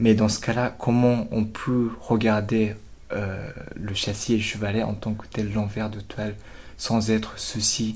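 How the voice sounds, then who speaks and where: Amid audible room echo, a man with a Japanese accent and fairly low pitch talks very slowly with monotone, flat intonation. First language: Japanese (speaking French). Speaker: art student. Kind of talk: interview. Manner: halting.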